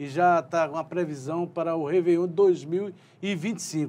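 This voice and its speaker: Speaking at a very slow pace, a man uses a fairly high pitch and a dark, mellow tone. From João Pessoa, Paraíba, Brazil; Paraíba, Brazil. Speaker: news interviewer. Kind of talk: interview. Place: studio. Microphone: lapel.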